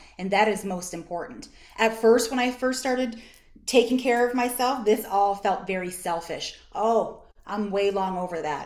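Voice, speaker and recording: In a room with audible echo, a woman speaks at a moderate pace, her fairly high voice showing lively intonation. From Canada, East Coast (Nova Scotia). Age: 40s. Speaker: social work association executive director. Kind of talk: workshop presentation. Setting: video call.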